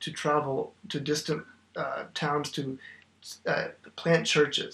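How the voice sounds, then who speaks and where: A fairly high-pitched man with an American accent, over noticeable background noise. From Oklahoma, US. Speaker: theology graduate, church member. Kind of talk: casual theological discussion.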